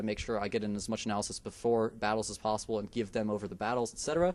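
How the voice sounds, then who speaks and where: A man with a fairly low pitch talks at a very fast pace, his intonation fairly even. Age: 20s. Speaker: esports commentator. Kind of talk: interview. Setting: live event.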